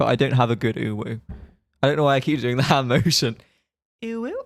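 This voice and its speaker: With a British accent, a man speaks at a fairly quick pace, the sound dry and close with no echo. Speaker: streamer. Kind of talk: casual chat.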